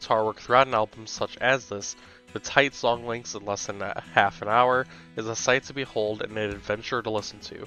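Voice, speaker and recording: With music playing in the background, a man speaks with fairly even intonation. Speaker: music reviewer. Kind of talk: album review narration.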